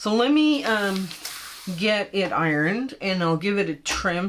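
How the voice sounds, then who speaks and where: This woman's intonation is lively, with noticeable background noise behind her. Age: 60s. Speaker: quilting tutorial host. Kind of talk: casual chat; tutorial. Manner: casual, chatty.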